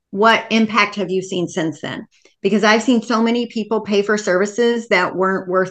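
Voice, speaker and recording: A woman with an ordinary speaking voice at medium pitch, fairly even intonation and a quiet background. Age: 50s. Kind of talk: casual interview.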